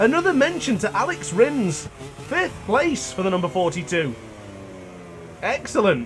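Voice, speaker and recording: At a moderate pace, a high-pitched man speaks with very wide pitch swings amid noticeable background noise. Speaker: gaming YouTuber. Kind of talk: gameplay commentary. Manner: talkative, chatty.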